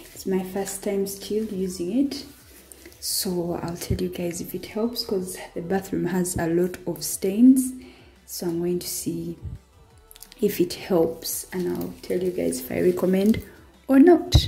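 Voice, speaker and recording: With faint music behind her, a woman talks at a very slow pace. She leaves long, frequent pauses. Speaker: vlogger cleaning her bathroom. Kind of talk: casual vlog chat. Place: bathroom. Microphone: camera far.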